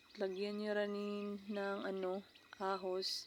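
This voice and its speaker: A woman speaks at a medium pitch. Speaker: cooking vlogger. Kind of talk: tutorial.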